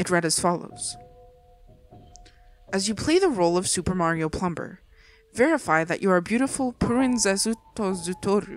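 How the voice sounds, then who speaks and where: Over music in the background, the speaker uses lively intonation at a moderate pace with long, frequent pauses. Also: woman, medium pitch for a woman. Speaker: horror story narrator. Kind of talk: creepypasta story reading.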